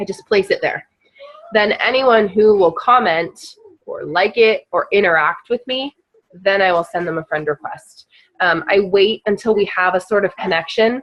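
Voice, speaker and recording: A woman speaks at a medium pitch and a moderate pace, with ordinary pitch variation. She has a plain, everyday voice. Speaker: network marketing team leader. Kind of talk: team training call. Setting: group call. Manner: casual, many fillers (um).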